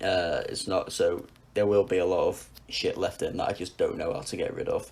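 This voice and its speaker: Fairly quick delivery in a northern English accent. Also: man. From northwest England. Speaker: music podcast co-host. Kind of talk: casual chat.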